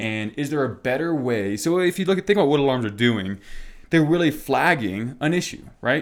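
At a moderate pace, an ordinary speaking voice carries lively intonation. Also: man, fairly high pitch for a man. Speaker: podcast host. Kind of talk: casual conversational podcast chat. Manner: casual, filler-heavy, laughs often.

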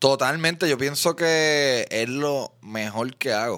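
With a bright, sharp tone and lively intonation, a man speaks in a Puerto Rican accent on a very clean recording with a silent background. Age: 30s. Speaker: comedian and podcaster. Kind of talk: casual chat.

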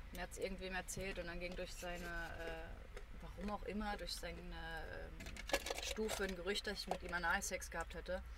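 Over noticeable background noise and audible room echo, a woman talks at a moderate pace with hardly any pauses. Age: 20s. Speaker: media studies student. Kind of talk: casual chat.

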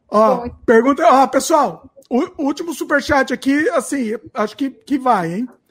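In a very clean recording with a silent background, a man speaks at a moderate pace with an extremely high pitch. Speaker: YouTube channel host. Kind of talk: live Q&A stream.

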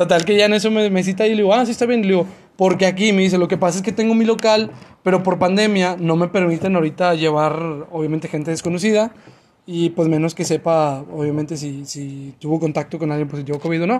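A man's high-pitched voice at a very fast clip, with ordinary pitch variation. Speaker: podcast host. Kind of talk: casual chat.

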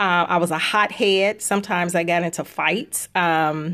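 A woman's normal speaking voice with an American accent, fairly low in pitch, at a moderate pace with fairly even intonation, in a very clean recording with a silent background. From Chicago, South Side. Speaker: author and podcast co-host. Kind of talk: inspirational faith talk.

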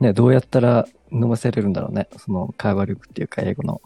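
A man speaks at a very fast pace in a dark, mellow tone, with a dry, close sound and no echo. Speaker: podcast co-host. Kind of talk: casual chat.

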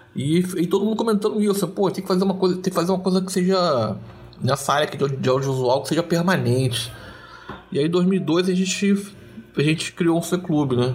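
With noticeable background noise around him, a high-voiced man talks fairly quickly, his pitch shifting in an ordinary way. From Brazil, Duque de Caxias (Rio de Janeiro). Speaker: cultural organizer and writer. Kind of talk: casual interview.

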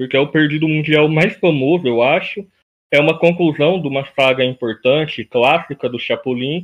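With a normal speaking voice, a man talks at a moderate pace and a fairly high pitch. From Brazil, interior of São Paulo state. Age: 20s. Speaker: YouTuber and podcast host. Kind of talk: interview.

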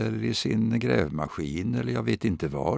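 A man talks with vocal fry. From Sweden, Östergötland (Vadstena). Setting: radio studio.

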